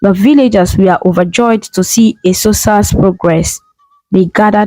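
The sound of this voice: Quiet background, with an unforced reading voice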